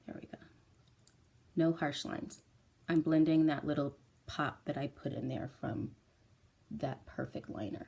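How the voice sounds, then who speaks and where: A woman's very deep, low voice with a dark, mellow tone and vocal fry, big swings in loudness, and long, frequent pauses. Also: ordinary pitch variation, moderate pace. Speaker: makeup tutorial presenter. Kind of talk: tutorial.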